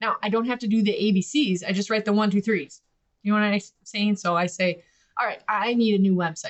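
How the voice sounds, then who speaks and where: A woman with an American accent, medium-pitched, ordinary pitch variation, very fast pace. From US Midwest. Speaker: podcast host and business owner. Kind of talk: casual instructional podcast talk. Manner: conversational, animated.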